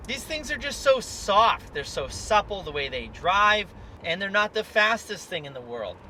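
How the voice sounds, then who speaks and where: Over noticeable background noise, a man's loudness swings widely. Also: moderate pace. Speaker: car dealer video reviewer. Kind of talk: car review while driving. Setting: in a car.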